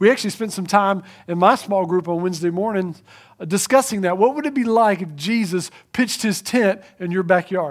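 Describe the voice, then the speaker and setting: A man with an American accent and a high pitch speaks at a moderate pace on a very clean recording with a silent background. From eastern North Carolina. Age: 40s. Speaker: pastor. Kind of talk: sermon. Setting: church.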